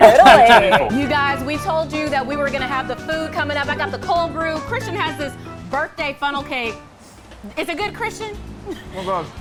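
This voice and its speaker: Over background music, a woman with a high pitch speaks at a moderate pace with lively intonation. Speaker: television news anchor and reporter. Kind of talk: TV news anchor delivery.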